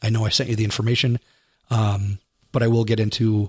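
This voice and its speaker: A man speaks at a fairly quick pace in a fairly low, somewhat breathy monotone, with a dry, close sound that has no echo. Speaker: podcast host. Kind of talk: podcast monologue.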